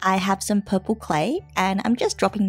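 Music in the background behind a woman's medium-pitched voice, moderate in pace and ordinary in pitch variation. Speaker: polymer clay crafter. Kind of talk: craft tutorial narration.

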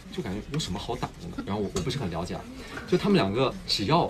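This man talks at a very fast pace with very wide pitch swings, and noticeable background noise sits behind him. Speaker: actor. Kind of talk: casual livestream talk. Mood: amused, reflective. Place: studio. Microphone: phone near.

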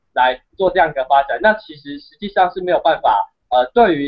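Over a quiet background, a man with a high pitch talks at a moderate pace. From Taiwan. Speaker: university student and activist; guest. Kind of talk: interview. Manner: halting, many fillers. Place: home room. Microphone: video call.

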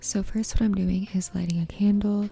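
The voice is soft-spoken with a relaxed, gentle tone and a dry sound with no echo. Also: woman. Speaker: beauty vlogger. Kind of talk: ASMR skincare routine, soft-spoken casual talk to camera. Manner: soft-spoken, relaxed, gentle. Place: home room.

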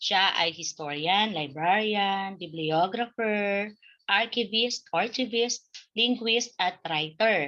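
A woman speaks at a very slow pace, medium in pitch with ordinary pitch variation and very even loudness. Her tone is bright and sharp over a quiet background. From Bicol, Philippines (Daet, Camarines Norte); Bicol, Philippines. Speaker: Filipino literature teacher. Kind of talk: online lesson. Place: home room. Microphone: webcam.

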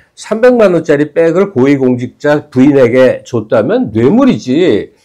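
Against a quiet background, a man speaks at a fairly slow pace in a dark, mellow tone with very wide pitch swings. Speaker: political commentator. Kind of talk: casual chat. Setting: studio. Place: studio. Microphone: lapel.

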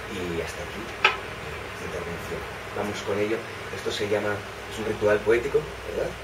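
Amid loud background noise, the speaker keeps a moderate pace broken by long, frequent pauses. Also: man. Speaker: bookshop host. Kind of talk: welcome speech. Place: shop. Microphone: camera far.

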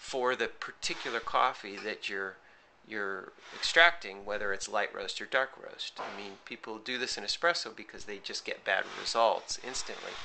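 The man's loudness swings widely while his pace stays moderate. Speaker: coffee roaster. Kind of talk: casual talk to camera. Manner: halting, hesitant.

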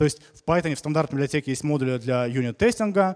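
Against a quiet background, a man talks at a very fast pace. His fairly high voice has lively intonation. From Saint Petersburg, Russia. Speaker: software developer, conference speaker; conference speaker. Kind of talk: conference talk. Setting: conference hall with audience. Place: hall. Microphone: handheld.

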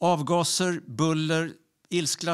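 Against a quiet background, a man delivers his lines in a high voice with flat, monotone intonation. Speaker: storyteller. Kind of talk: storytelling. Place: stage. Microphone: handheld.

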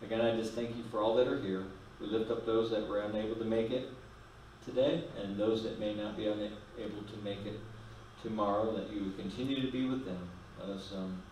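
A man with a fairly low pitch talks at a fairly quick pace with fairly even intonation, with audible room echo and light background noise. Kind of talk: prayer and announcements. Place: church.

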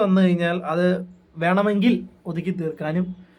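Pitched high, a man talks with the typical amount of pitch variation. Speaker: YouTube vlogger. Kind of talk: casual commentary monologue. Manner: conversational, with fillers.

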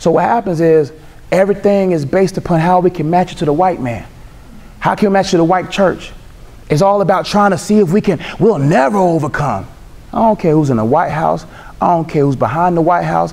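This man talks fairly quickly in a high register, his pitch moving with ordinary variation. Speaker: speaker. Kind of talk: panel discussion answer. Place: hall.

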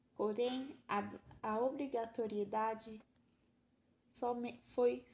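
A very slow pace with fairly even intonation. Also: woman. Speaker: pedagogy student. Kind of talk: student presentation. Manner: formal; halting.

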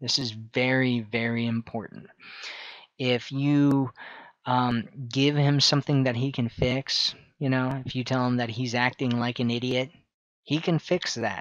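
A man talks at a fairly slow pace, leaving long, frequent pauses. The sound is dry with no echo, over a quiet background. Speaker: dating coach. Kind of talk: advice talk to camera. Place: home room. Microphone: headset.

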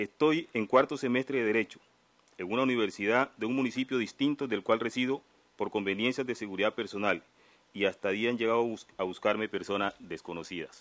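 Fairly quick pace, medium pitch and ordinary pitch variation from a man with an ordinary speaking voice. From Colombia, Nariño (Pacific south). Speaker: community leader, law student. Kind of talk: testimony at formal hearing.

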